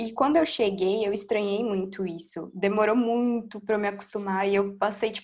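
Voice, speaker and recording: A woman with a plain, everyday voice talks at a moderate pace and medium pitch, with fairly even intonation and hardly any pauses. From São Paulo, East Zone (Brazil). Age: 20s. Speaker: slam poet and event organizer. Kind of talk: interview. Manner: casual, slangy.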